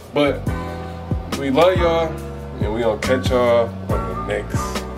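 Clear music in the background behind a man talking. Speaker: couple vlogger. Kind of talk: casual vlog chat. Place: home room. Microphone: phone near.

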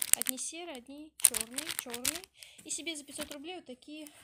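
Her bright, sharp, nasal voice moves at a moderate pace, and this woman uses ordinary pitch variation.

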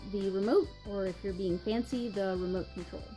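A woman speaks in an American accent with faint music in the background. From North Carolina, US. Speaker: vlogger. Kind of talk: accent tag video, casual talk to camera. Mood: light, amused. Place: home room. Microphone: webcam.

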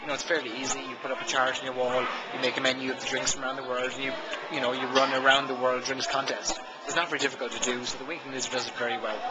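A man talks at a very fast pace. Loud background noise sits behind him. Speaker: hospitality business vlogger. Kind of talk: casual vlog commentary. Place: bar. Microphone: phone near.

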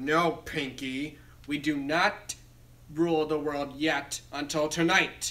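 Using a put-on character voice, a man speaks fairly high and fairly slowly. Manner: put-on cartoon character voice.

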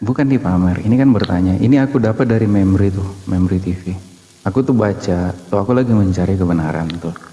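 Talking at a very fast pace, a man has a very deep, low pitch and ordinary pitch variation. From Manado, Indonesia. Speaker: questioner from audience. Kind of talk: heated debate. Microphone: phone near.

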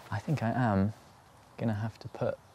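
With a fairly low pitch and a slightly husky edge, a man talks at a moderate pace in a dark, mellow tone with fairly even intonation.

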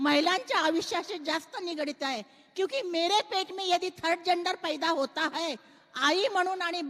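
A woman's speech comes through noticeable background noise. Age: 50s. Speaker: writer and social activist. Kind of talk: panel discussion. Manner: outspoken, direct.

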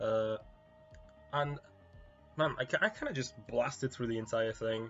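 With music playing in the background, a man speaks at a moderate pace with ordinary pitch variation. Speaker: video game reviewer. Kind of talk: casual talk to camera. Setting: quiet home recording.

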